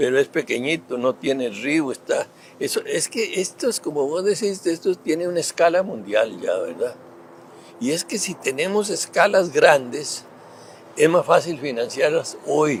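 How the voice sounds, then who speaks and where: A man speaks with a Costa Rican accent. His pace is fairly slow. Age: 80s+. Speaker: former government minister and politician. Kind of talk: interview. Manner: halting, many fillers.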